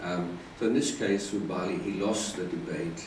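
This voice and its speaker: A man with a British accent at a fairly slow pace, with noticeable background noise and audible room echo. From UK. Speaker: Buddhist monk. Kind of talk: dharma talk. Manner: hesitant, many fillers.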